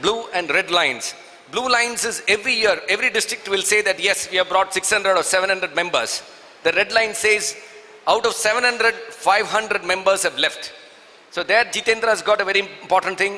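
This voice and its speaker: The speaker has a Keralan accent and a raised, projected voice at a fairly quick pace. Intonation is fairly even, and noticeable background noise is present. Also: man. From southern India. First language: Malayalam. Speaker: Rotary district leader, seminar speaker. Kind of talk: seminar talk.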